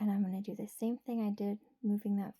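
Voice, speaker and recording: A soft-spoken woman uses a soothing, dark and mellow tone at medium pitch, somewhat breathy and monotone with flat intonation, in a dry, close sound with no echo. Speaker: ASMR creator. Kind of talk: ASMR math tutorial. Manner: whispered; soft-spoken, soothing.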